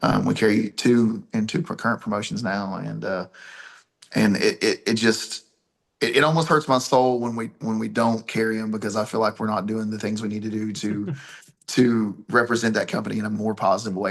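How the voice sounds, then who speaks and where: Talking at a fairly quick pace with an Appalachian accent, a man has a fairly low pitch and ordinary pitch variation. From Appalachia, US. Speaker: pro wrestler and promoter. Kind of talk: interview.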